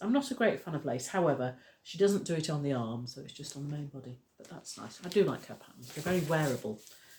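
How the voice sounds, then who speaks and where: A woman speaks with a very deep, low pitch. Her pace is fairly quick and her intonation lively. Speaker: crochet and knitting teacher, craft vlogger. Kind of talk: casual vlog chat. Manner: chatty, hesitant with fillers.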